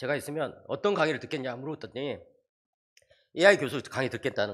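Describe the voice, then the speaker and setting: Vocal fry, very wide pitch swings and a fairly quick pace. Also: man, very clean recording, silent background. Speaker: theology professor. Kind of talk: church seminar lecture. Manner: animated.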